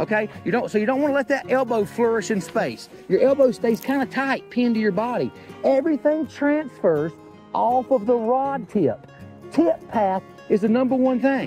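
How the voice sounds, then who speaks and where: Speaking at a moderate pace in an Appalachian accent, a man with an extremely high pitch keeps his loudness very even and his intonation lively, in a dry recording with no echo and faint music in the background. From Appalachian North Carolina. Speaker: fly fishing instructor. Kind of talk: casual instructional talk to camera. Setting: outdoors, by a river, windy. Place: waterside.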